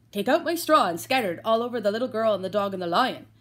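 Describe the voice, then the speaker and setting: In a put-on character voice, a female-sounding speaker talks very fast at a fairly high pitch for a woman. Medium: read story.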